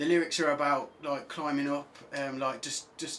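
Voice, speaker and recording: A man speaks with an English accent. His pitch is fairly high and his pace fairly quick. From England, Birmingham. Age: 20s. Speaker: singer-songwriter. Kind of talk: radio interview. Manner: halting, many fillers.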